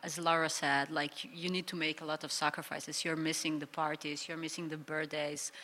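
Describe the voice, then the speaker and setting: In a Serbian accent, the speaker moves at a fairly quick pace with monotone, flat intonation. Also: woman, very deep, low pitch for a woman. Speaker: professional footballer. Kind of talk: live panel discussion. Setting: live stage with audience.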